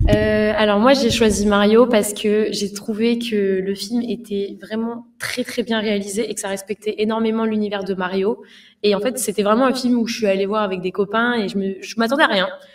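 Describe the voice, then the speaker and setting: Over a quiet background, a woman with a normal speaking voice and fairly high pitch talks at a moderate pace, her intonation fairly even but her loudness swinging widely. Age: 20s. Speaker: streamer. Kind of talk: casual film discussion. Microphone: studio mic.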